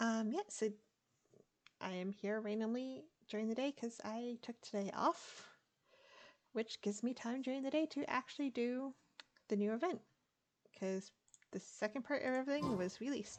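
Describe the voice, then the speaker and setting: A soft-spoken woman with a fairly high voice talks at a moderate pace, with ordinary pitch variation and long, frequent pauses. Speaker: gaming streamer. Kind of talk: game commentary. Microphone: quiet audio.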